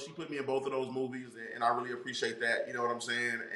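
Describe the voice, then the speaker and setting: A man speaks with an American accent. The room echo is audible. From North Carolina. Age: 40s. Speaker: actor and comedian. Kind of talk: casual interview.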